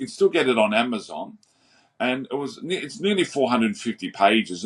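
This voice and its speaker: Here a man speaks with an Australian accent. His pitch swings very widely. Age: 60s. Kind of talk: interview.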